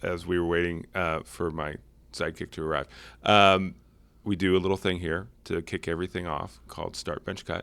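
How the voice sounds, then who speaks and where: A man's very deep, low voice in a flat monotone, on a very clean recording with a silent background. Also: moderate pace. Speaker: city manager and podcast host. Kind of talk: casual chat. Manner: dropping voice lower than normal.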